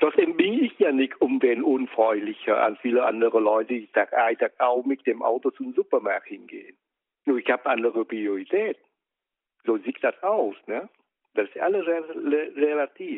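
At a moderate pace, a man with a Vietnamese accent speaks with long, frequent pauses. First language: Vietnamese (speaking German). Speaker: interviewee, host's father. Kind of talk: casual chat. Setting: in a car.

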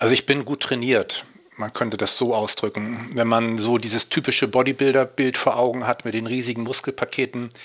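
A man at a medium pitch and moderate pace, with fairly even intonation and a plain, everyday voice. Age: 50s. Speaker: natural bodybuilder and fitness coach. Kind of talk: interview.

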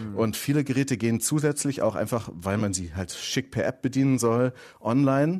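A man talks at a fairly quick pace in a medium pitch with ordinary pitch variation. The recording is very clean, with a silent background. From southern Germany. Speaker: tech columnist. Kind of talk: casual tech chat. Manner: enthusiastic.

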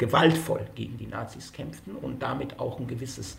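A man speaks with audible room echo around him. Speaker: sociologist, author. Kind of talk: interview. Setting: remote connection.

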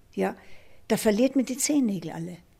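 The speaker is a woman, her voice somewhat breathy. Her tone is dark and mellow. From Austria. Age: 70s. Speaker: retired ultra-runner and triathlete. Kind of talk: interview testimony.

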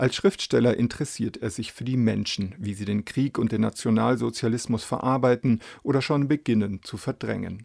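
Captured in a very clean recording with a silent background, the voice shows vocal fry and ordinary pitch variation. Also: man, medium pitch for a man, moderate pace. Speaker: radio reviewer. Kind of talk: review narration. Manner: formal.

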